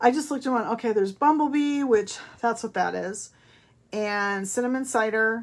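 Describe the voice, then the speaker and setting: The recording is very clean, with a silent background. A woman talks at a moderate pace in a fairly high pitch with ordinary pitch variation. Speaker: papercraft demonstrator. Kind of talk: craft tutorial. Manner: loud.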